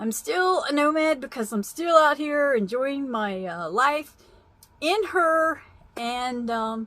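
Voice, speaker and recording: The voice moves at a very slow pace with very wide pitch swings. Its tone is bright and sharp. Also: woman, high pitch for a woman. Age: 60s. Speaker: vlogger, van-dwelling nomad. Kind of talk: casual vlog talk. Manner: casual, meandering with fillers.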